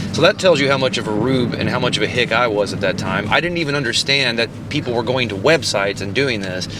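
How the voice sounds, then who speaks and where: Over music in the background, a man with a medium pitch speaks very fast with lively intonation and hardly any pauses. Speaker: podcast host and musician. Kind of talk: casual chat. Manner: animated.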